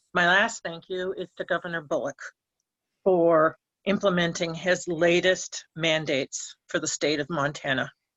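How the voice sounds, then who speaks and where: Fairly even intonation and a moderate pace mark an ordinary speaking voice. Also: woman, fairly low pitch for a woman. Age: 60s. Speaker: public commenter. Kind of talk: public comment.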